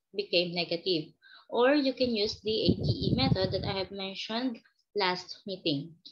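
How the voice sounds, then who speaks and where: A woman speaks with vocal fry at a moderate pace. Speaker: math teacher. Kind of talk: online math lesson.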